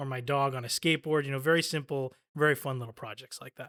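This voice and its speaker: A man with a Spanish accent speaks in a fairly high pitch and a flat monotone. The sound is dry and close with no echo, on a very clean recording with a silent background. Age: 30s. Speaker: college student. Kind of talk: interview.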